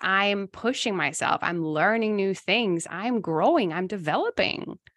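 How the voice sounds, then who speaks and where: Over a quiet background, a woman with an unremarkable speaking voice talks at a fairly slow pace with lively intonation. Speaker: giftedness coach and podcast host. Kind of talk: coaching conversation.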